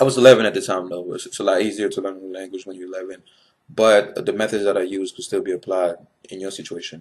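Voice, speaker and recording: A man speaks at a very fast pace with a fairly low pitch. His loudness swings widely. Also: fairly even intonation. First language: not English. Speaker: YouTuber giving advice. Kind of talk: casual advice vlog. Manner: many fillers and restarts.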